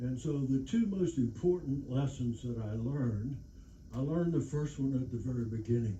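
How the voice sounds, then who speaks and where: Audible room echo and noticeable background noise surround a man with an American accent who speaks at a medium pitch and a moderate pace with ordinary pitch variation. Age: 80s+. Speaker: war veteran. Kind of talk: lecture. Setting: stage with audience. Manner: halting.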